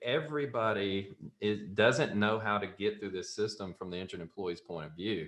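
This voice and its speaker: A man with a Southern US accent speaks at a fairly quick pace in a fairly low, bright, sharp voice with lively intonation. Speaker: software company founder and CEO. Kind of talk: podcast interview, storytelling.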